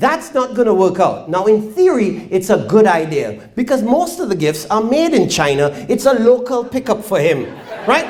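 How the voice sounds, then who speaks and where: Over noticeable background noise and audible room echo, a man with a high pitch talks at a moderate pace, his pitch swinging very widely. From Trinidad. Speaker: stand-up comedian. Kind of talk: stand-up. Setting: stage with audience.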